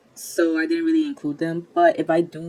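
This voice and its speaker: In a non-native accent, a woman speaks with a fairly low pitch. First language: not English. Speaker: YouTube movie commentator. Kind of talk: casual video commentary. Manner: halting, self-correcting.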